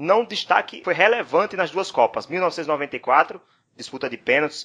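At a fairly slow pace, a man speaks with a bright, sharp tone, a fairly high pitch and lively intonation. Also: quiet background. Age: 30s. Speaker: podcast host. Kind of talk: casual chat.

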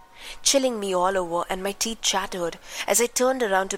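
In a natural reading voice, the pitch varies in an ordinary way.

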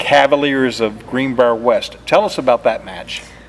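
A moderate pace and ordinary pitch variation, with music in the background. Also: man. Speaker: sports interviewer and announcer. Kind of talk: interview.

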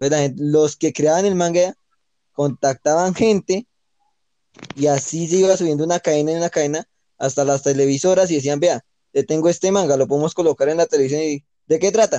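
Fairly high-pitched and fairly quick, a man speaks with a dark, mellow tone and ordinary pitch variation, the sound dry and close with no echo. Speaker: podcast co-host. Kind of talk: casual chat.

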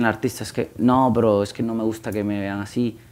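With a plain, everyday voice, a man speaks at a fairly low pitch and a moderate pace in fairly even intonation. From Guatemala. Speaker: music marketing consultant. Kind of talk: podcast interview. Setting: office with live audience.

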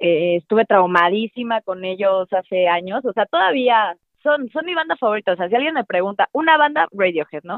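A woman at a moderate pace with very wide pitch swings and hardly any pauses. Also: medium pitch for a woman. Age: 20s. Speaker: drummer and musician. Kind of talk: casual interview chat. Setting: call.

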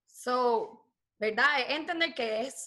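A woman with a high pitch speaks in a raised, projected voice, her bright, sharp tone carried by lively intonation. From Puerto Rico. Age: 20s. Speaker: forex trader and recent graduate. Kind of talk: casual interview.

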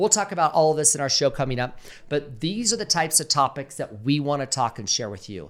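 The speech moves at a moderate pace with lively intonation. The recording is very clean, with a silent background. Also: man. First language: English (speaking Spanish). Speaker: podcast host. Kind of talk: casual chat. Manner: halting in Spanish.

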